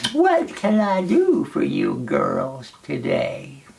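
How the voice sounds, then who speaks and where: In a put-on character voice, the speaker talks at a very slow pace. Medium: read story. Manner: sly, falsely sweet.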